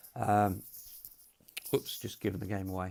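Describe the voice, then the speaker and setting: This man's delivery is monotone and flat, moving along at a moderate speed. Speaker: tabletop games presenter. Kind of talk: casual recap to camera. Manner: hesitant, many ums.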